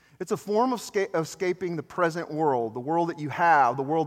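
A man is speaking. His voice is pitched high for a man. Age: 40s. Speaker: campus minister. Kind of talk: sermon. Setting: church. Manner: animated.

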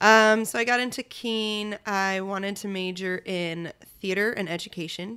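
A woman with an American accent and a bright, sharp tone, on a very clean recording with a silent background. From Shelton, Connecticut, US. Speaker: actor and voiceover artist. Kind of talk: casual chat.

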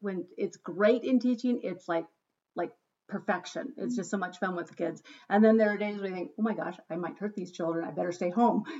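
A woman with an ordinary speaking voice talks at a fairly quick pace and a medium pitch, with ordinary pitch variation. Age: 50s. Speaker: podcast host, school educator. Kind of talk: casual chat. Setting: at home.

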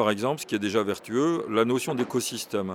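A man talks in a plain, everyday voice. He keeps a moderate pace and ordinary pitch variation. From Burgundy, France. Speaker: professor. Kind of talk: interview.

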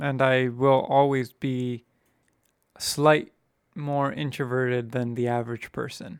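A man speaks in a normal speaking voice at medium pitch. His pace is fairly slow and his intonation fairly even. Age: 20s. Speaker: podcast co-host. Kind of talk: casual chat.

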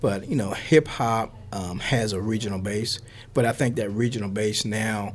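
A man with a fairly low pitch speaks at a moderate pace. His voice is somewhat breathy, with fairly even intonation. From US South. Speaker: professor. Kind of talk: interview. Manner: halting, with fillers and repetitions.

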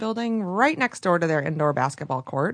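A woman talks at a fairly quick pace and a fairly low pitch in an unremarkable speaking voice. The background is quiet. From Michigan, rural area near Flint. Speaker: podcast host and radio producer. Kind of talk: casual interview chat. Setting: podcast studio.

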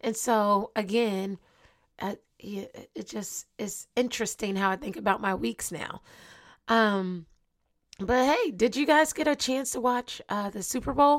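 On a very clean recording with a silent background, a woman speaks fairly slowly in an animated tone at a fairly high pitch, with ordinary pitch variation, big swings in loudness and long, frequent pauses. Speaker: motivational podcast host. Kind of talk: motivational monologue.

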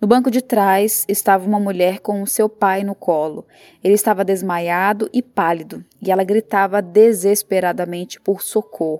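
Dry and close with no echo, a woman's medium-pitched voice carries a solemn, dark, mellow tone and fairly even intonation. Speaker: reporter reading her own book as audiobook. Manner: slow, solemn, heavy with sorrow, measured pacing.

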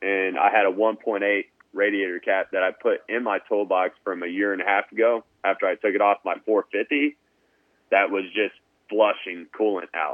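The man's voice is fairly low in pitch. He keeps a moderate pace and fairly even intonation. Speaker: motocross tech company co-owner. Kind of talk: casual interview chat. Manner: loud.

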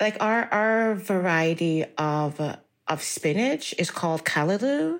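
At a very slow pace with hardly any pauses, a woman with an American accent and a medium pitch uses lively intonation and very even loudness on a very clean recording with a silent background. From Jamaica, raised from 12 in Brooklyn. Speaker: writer and English professor. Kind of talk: interview.

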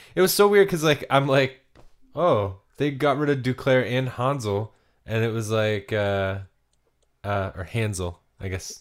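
A man speaks at a medium pitch and a fairly slow pace, with long, frequent pauses. The recording is very clean, with a silent background. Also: lively intonation. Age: 30s. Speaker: hockey podcast co-host. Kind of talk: casual chat.

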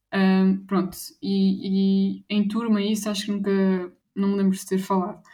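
A somewhat breathy woman's voice at a medium pitch. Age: 20s. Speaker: anti-bullying association president. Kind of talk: interview.

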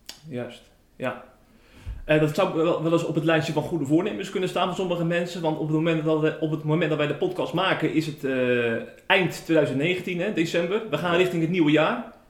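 With audible room echo and noticeable background noise, a man talks at a fairly quick pace, fairly high in pitch, with ordinary pitch variation. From Zeeland, Tholen. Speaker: podcast host. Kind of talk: interview. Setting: at the pastor's home.

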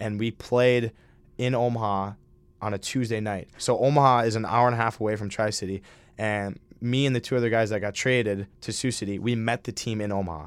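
This man talks at a fairly quick pace with an Upper Midwest accent. The recording is very clean, with a silent background. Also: medium pitch for a man, fairly even intonation. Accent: Upper Midwest American. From Minnesota. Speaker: college hockey player. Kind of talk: interview. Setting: studio.

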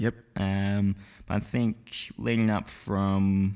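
A man speaks with an Australian accent at a fairly low pitch. His intonation is monotone and flat. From Perth, Western Australia. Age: young. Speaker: videographer and filmmaker. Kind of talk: casual interview. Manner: halting.

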